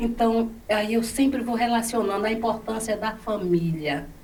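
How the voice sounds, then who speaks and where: Amid noticeable background noise and audible room echo, a woman speaks at a fairly slow pace with a fairly high pitch. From Bahia, Brazil. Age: 70s. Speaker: educator. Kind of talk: interview.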